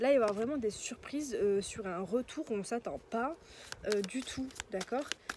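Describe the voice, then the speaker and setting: A soft-spoken woman at a fairly high pitch and moderate pace, with ordinary pitch variation, amid noticeable background noise. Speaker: tarot card reader. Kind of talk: tarot reading. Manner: halting.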